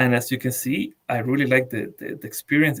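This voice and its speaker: This man speaks at a medium pitch with a Latin American accent. His intonation stays fairly even. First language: Spanish. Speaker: blockchain developer. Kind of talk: technical tutorial. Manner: halting, many repeated words.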